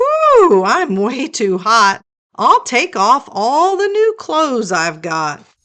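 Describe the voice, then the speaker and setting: A woman uses a put-on character voice, high-pitched, with very wide pitch swings and a very slow pace. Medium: read story. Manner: cheerful.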